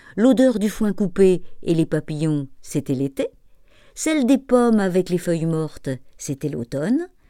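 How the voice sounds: The voice reads naturally. Its pitch moves in a lively way.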